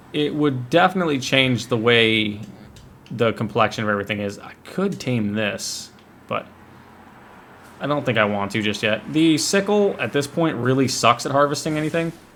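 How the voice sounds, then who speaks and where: Here is a man with a normal speaking voice at a medium pitch. He speaks at a moderate pace. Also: lively intonation. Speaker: gaming video creator. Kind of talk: gameplay commentary. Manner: casual, thinking aloud.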